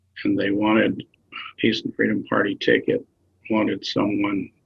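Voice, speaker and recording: A man with an American accent, at a moderate pace. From rural Tennessee. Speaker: activist and author. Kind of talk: interview answer.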